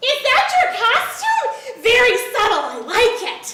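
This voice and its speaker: A woman puts on a squeaky, bubbly character voice at an extremely high pitch, speaking fairly slowly with a clear echo. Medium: comedy sketch. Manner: bubbly, excitable.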